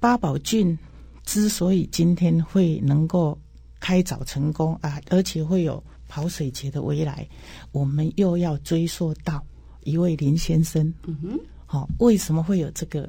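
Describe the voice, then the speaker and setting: Over a very clean recording with a silent background, a woman speaks at a fairly slow pace in a very deep, low pitch, with a dark, mellow tone, a somewhat breathy quality and ordinary pitch variation. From Taiwan, Changhua County. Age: 60s. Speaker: irrigation agency director. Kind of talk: interview.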